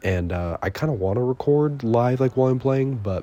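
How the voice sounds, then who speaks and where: This quiet voice has a dark, mellow tone, ordinary pitch variation and a moderate pace. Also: man. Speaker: gaming youtuber. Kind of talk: gameplay voiceover commentary. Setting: at home at night, recorded over footage. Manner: quiet, hushed; hesitant, many fillers.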